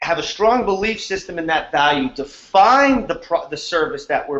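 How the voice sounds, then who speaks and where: This man speaks with a New York accent. His pitch variation is ordinary. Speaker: wholesale real estate investor, co-host. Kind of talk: casual online training talk. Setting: online video call.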